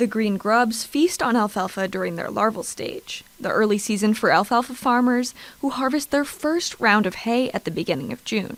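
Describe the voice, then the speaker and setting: A woman with an American accent and an unremarkable speaking voice talks at a moderate pace in a fairly high pitch, her intonation lively and hardly any pauses in between. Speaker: TV news reporter. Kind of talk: TV news voiceover narration.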